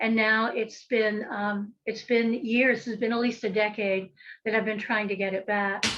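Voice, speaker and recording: In a quiet background, a woman talks at a fairly slow pace with an American accent. Her pitch is fairly high and her intonation monotone and flat. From western North Carolina, Appalachia. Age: 60s. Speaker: folk magic practitioner and author. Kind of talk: podcast interview.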